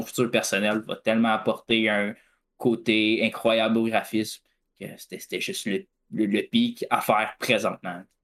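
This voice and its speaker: In a Quebec accent, a man speaks at medium pitch and a fairly slow pace. His intonation stays fairly even on a very clean recording with a silent background. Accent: Québécois French. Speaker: esports team co-owner. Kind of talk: casual chat.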